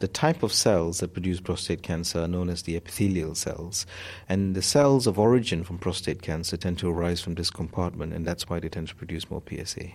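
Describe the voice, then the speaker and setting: In a very clean recording with a silent background, a man with a very deep, low pitch talks at a fairly quick pace with ordinary pitch variation. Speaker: urologist. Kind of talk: explaining medical information in interview.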